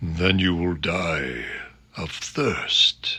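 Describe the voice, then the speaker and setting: Using a put-on character voice, a man speaks in a raspy, very deep, low register with a calm tone. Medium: read story. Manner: calm, grave, unhurried.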